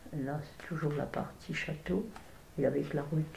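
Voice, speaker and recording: A woman's very deep, low, dark and mellow voice, somewhat breathy, at a fairly slow pace with fairly even intonation and audible room echo. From France, Villard-de-Lans (Vercors). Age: 80s+. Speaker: elderly local resident sharing memories. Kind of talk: oral history interview. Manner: hesitant, with repetitions.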